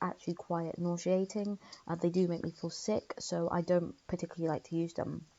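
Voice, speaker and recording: A woman with a London accent speaks at a fairly low pitch and a moderate pace. Her intonation is monotone and flat, with hardly any pauses. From London, England. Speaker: YouTuber discussing philosophy. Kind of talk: casual vlog monologue. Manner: hesitant, many fillers.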